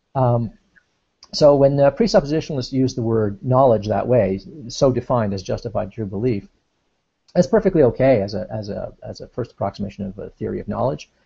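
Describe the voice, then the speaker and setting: A man speaks at a fairly quick pace with medium pitch, lively intonation and big swings in loudness. His voice is somewhat breathy, with a dark, mellow tone. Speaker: philosophy discussant. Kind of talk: casual discussion explaining philosophy. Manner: fast; halting.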